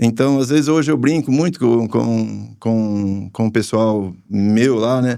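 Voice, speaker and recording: The voice pairs a dark, mellow tone with lively intonation. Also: man. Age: 60s. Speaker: farmer. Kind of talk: podcast interview. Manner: halting, with many repetitions.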